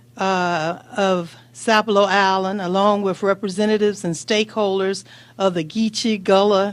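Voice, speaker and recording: An unremarkable speaking voice moves at a fairly slow pace with fairly even intonation. The recording is very clean, with a silent background. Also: woman. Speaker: state senator. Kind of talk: press conference statement.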